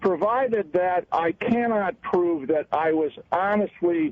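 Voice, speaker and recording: Here a man speaks with a high pitch. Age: 70s. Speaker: caller, retired business school dean. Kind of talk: radio call-in. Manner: halting, many fillers.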